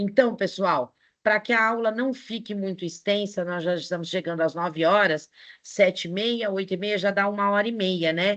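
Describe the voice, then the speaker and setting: A woman's normal speaking voice at medium pitch, with ordinary pitch variation, a moderate pace and a quiet background. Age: 60s. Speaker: teacher. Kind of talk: online lecture. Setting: online live class.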